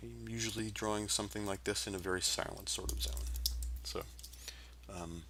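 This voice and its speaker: Mumbling at a moderate pace, a man's voice moves through very wide pitch swings amid audible room echo. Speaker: vector artist live-streaming drawing. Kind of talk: live-stream drawing commentary. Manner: mumbling to self; rambling, hesitant with fillers.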